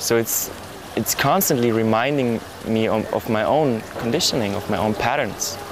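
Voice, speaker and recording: Over noticeable background noise, a man with a German accent speaks at a moderate pace with a medium pitch and ordinary pitch variation. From Germany. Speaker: resort visitor. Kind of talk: interview testimony.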